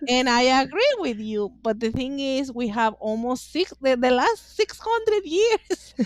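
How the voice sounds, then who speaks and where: A fairly slow pace with very wide pitch swings, hardly any pauses, and a strong Mexican accent. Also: woman, high pitch for a woman. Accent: Mexican Spanish accent, thick. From northeastern Mexico. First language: Spanish. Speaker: author and witchcraft practitioner. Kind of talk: podcast interview. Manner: halting.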